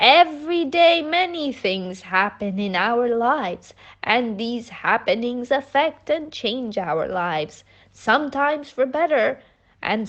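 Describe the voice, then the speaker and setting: A woman performs a put-on character voice at a fairly slow pace. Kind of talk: bedtime story. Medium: read story. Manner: gentle, calm, kind.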